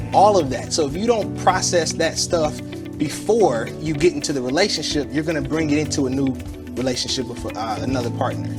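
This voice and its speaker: A man talks at a moderate pace. Background music plays under his voice. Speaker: licensed marriage and family therapist. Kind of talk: TV interview answer.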